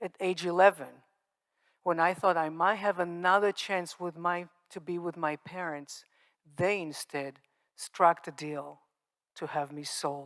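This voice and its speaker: Speaking with an Israeli accent, a woman with a fairly low pitch keeps a fairly even intonation and leaves long, frequent pauses, in a very clean recording with a silent background and a dry, close sound with no echo. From Israel, Moroccan family. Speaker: survivor speaker, nonprofit founder. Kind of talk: testimony. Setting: stage with audience.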